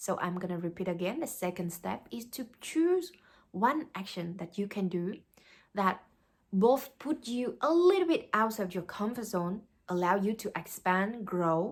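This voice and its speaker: This woman speaks with a Vietnamese accent at a fairly slow pace. Her intonation is lively. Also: medium pitch for a woman. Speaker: life coach. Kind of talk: motivational talk. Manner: halting.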